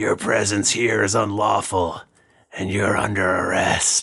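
A man puts on a gruff, raspy character voice, fairly low in pitch and at a fairly slow pace.

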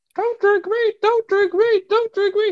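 A put-on character voice shouts at an extremely high pitch. The intonation stays flat and monotone. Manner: screaming, terrified.

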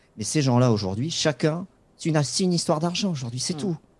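A man's voice with a dark, mellow tone comes through in a very clean recording with a silent background. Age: 40s. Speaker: football club website editor and supporter. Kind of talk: interview.

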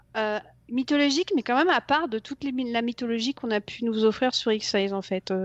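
Her pace is fairly quick. The woman's pitch varies in an ordinary way. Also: fairly high pitch for a woman. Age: 40s. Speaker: TV series superfan. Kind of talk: casual interview. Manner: halting.

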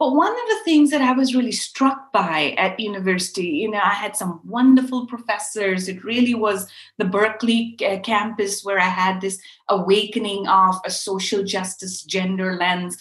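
This woman has a medium pitch and a somewhat breathy voice. She speaks at a moderate pace with ordinary pitch variation. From Pakistan, Karachi. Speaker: fashion activist and company founder. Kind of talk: interview. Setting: remote call.

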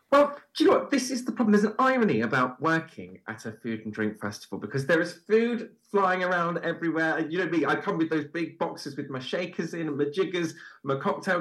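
At a fairly quick pace, the speaker's pitch swings very widely. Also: man. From Bristol, England. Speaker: TV producer and festival host. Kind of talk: casual interview chat. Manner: warm, funny.

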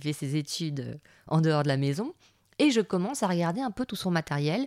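At a moderate pace, a woman speaks with very wide pitch swings in a very clean recording with a silent background and a dry, close sound without echo. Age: 40s. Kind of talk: casual monologue. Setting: home recording in son's music room. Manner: hesitant, with filler words.

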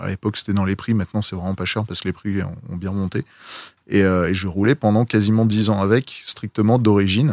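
A man talks at a fairly quick pace in an ordinary speaking voice. The sound is dry and close, with no echo. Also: fairly low pitch for a man. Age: 30s. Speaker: film vehicle collector. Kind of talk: casual chat.

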